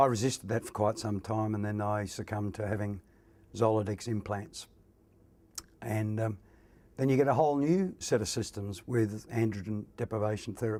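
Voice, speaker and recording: Speaking with an Australian accent, a man uses a fairly low pitch and a dark, mellow tone at a moderate pace. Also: fairly even intonation. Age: 60s. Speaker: prostate cancer patient. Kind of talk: testimony.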